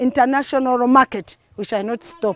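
A woman speaks at a high pitch, the sound dry and close with no echo. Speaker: community development worker. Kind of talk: documentary interview.

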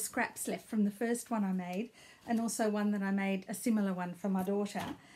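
A woman's somewhat breathy, medium-pitched voice with an Australian accent, fairly even intonation, and a fairly quick pace. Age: 60s. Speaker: knitting vlogger. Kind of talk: casual video blog. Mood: warm, friendly. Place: home room. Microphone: phone near.

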